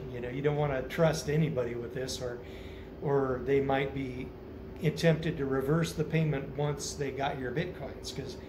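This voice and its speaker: A man with an American accent and a fairly high pitch speaks at a moderate pace with fairly even intonation over noticeable background noise. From United States. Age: 50s. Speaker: vlogger. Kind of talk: casual monologue. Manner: halting, many fillers. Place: home room. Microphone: phone near.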